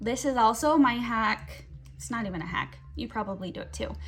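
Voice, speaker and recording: This woman speaks at a moderate pace. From Utah. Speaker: mom blogger and beauty vlogger. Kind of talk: casual chat during makeup tutorial. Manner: animated.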